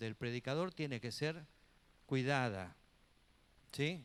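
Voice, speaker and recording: This man's medium-pitched voice moves at a very slow pace with lively intonation. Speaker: pastor and Bible teacher, preacher. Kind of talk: church teaching class, sermon-like lecture. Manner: conversational, earnest, preachy.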